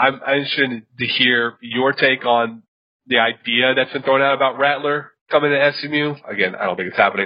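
Using a plain, everyday voice, a man speaks at a medium pitch and moderate pace with fairly even intonation. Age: 30s. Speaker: college football podcast host. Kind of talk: casual sports chat.

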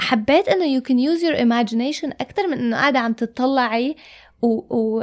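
Her pitch is high and varies in an ordinary way. The woman speaks at a fairly quick pace. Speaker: podcast co-host. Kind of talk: casual chat. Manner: loud.

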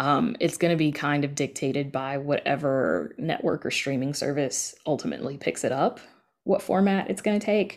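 In a Southern US accent, a woman with a very deep, low pitch speaks at a moderate pace with lively intonation on a very clean recording with a silent background. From US South. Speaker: audio drama podcast creator. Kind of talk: casual interview.

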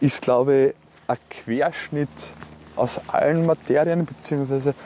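A man speaks very slowly at a fairly high pitch, his intonation fairly even, with noticeable background noise behind him. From Austria, Salzburg (Neumarkt am Wallersee). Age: 30s. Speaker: politician. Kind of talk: interview. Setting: outdoors, walk by a lake.

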